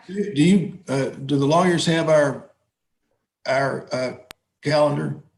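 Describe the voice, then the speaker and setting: A man speaks in a somewhat breathy voice at a fairly high pitch. His pace is fairly slow, with long, frequent pauses. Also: ordinary pitch variation. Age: 70s. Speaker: judge. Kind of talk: court hearing. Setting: video call. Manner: halting.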